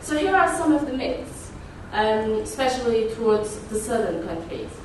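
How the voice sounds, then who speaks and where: A woman with a Portuguese accent speaks fairly slowly with lively intonation, with audible room echo and light background noise. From Portugal. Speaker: activist and conference speaker. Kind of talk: conference talk with slides. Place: meeting room.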